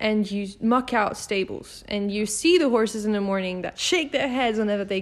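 Her pitch is fairly high and varies in an ordinary way, an unremarkable speaking voice from a woman. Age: 20s. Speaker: podcast host and company CEO. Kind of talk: casual interview. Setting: in person, on a couch.

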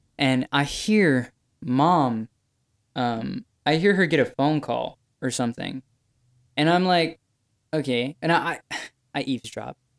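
A man with a fairly high voice speaks fairly slowly, with lively intonation and long, frequent pauses. The recording is very clean, with a silent background and a dry, close sound with no echo. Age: young. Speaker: podcast guest, host's younger brother. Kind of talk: casual chat.

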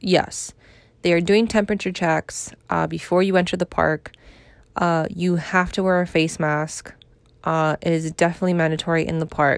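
This woman talks at a moderate pace in a New York accent. Her pitch is fairly low and her intonation fairly even. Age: 30s. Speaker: podcast host. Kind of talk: casual chat.

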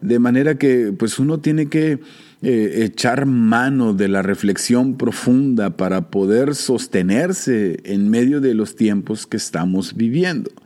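A man's dark, mellow voice at medium pitch, with very even loudness, a very slow pace and lively intonation. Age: 40s. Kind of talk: solo theological reflection podcast. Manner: hesitant with fillers and repetitions.

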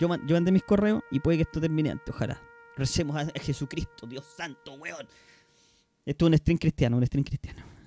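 With music in the background, a man talks at a fairly quick pace, his voice fairly high in pitch with ordinary pitch variation. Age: 30s. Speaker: streamer and podcast host. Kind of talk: casual chat.

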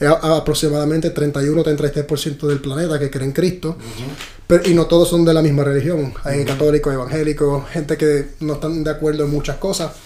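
Over noticeable background noise, a man with fairly high pitch speaks fairly quickly in a monotone, flat intonation. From Puerto Rico. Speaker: actor. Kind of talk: casual chat.

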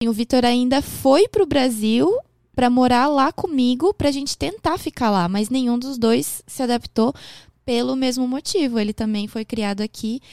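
A woman's high-pitched voice with lively intonation at a moderate pace, dry and close with no echo, on a very clean recording against a silent background. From Japan, raised by a Brazilian family from Porto Alegre. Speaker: makeup artist and podcaster. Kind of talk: casual interview chat.

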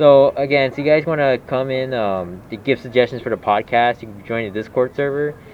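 Over noticeable background noise, a man talks at a medium pitch and a fairly quick pace with fairly even intonation. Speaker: podcast host. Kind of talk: casual chat.

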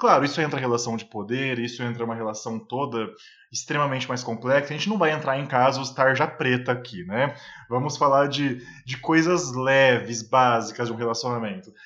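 A man speaks at a fairly quick pace in a medium pitch, his tone bright and sharp and his pitch varying in an ordinary way. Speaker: podcast co-host. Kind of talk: casual discussion. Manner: emotional.

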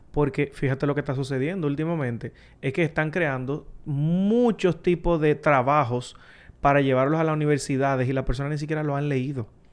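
Against a quiet background, an unremarkable speaking voice moves at a fairly quick pace with ordinary pitch variation. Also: man, fairly high pitch for a man. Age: 30s. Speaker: tech content creator. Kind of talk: casual chat.

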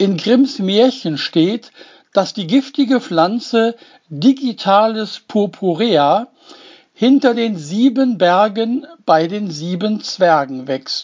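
The voice moves at a very slow pace with very wide pitch swings. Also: man. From Germany, Duisburg (Ruhr area). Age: old. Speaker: essayist, former postman. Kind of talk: scripted narration.

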